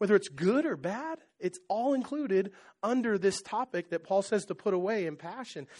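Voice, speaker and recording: A man talks at a fairly quick pace with a high pitch and lively intonation. The background is quiet. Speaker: pastor. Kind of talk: sermon. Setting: church. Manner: conversational, asks the audience many questions.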